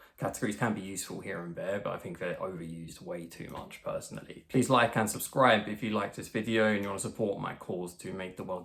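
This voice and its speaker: Speaking at a very fast pace with hardly any pauses, a man with an English accent has a fairly low pitch and big swings in loudness. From England. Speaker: social skills coach. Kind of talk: tutorial.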